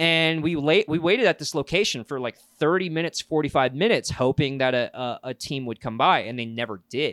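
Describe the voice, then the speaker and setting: An unremarkable speaking voice, a man with an American accent talks at a fairly quick pace and fairly high pitch, using lively intonation and hardly any pauses, in a dry, close sound with no echo on a very clean recording with a silent background. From US South. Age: 20s. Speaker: podcast co-host, foam blaster hobbyist. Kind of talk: casual chat.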